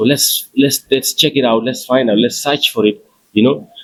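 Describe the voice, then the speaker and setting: The voice is a man's. It stays monotone and flat throughout. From Gambia. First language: Fula. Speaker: musician. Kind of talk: interview. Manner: hesitant, many fillers.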